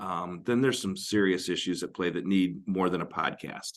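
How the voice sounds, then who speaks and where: A booming male voice with an American accent against a quiet background. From Northern Michigan. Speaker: marriage podcast co-host. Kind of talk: casual advice discussion.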